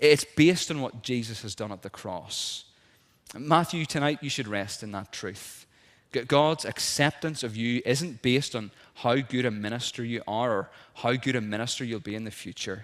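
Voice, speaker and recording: Speaking with a Northern Irish accent, a man talks at a moderate pace with a medium pitch, ordinary pitch variation and big swings in loudness. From Northern Ireland, South Armagh. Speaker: minister. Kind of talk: sermon. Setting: church.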